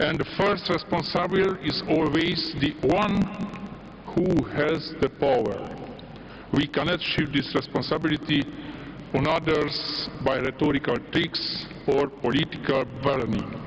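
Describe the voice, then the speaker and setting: A man with a Hungarian accent, fairly high in pitch, fairly slow, with ordinary pitch variation and very even loudness, over noticeable background noise. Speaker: politician. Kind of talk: political speech.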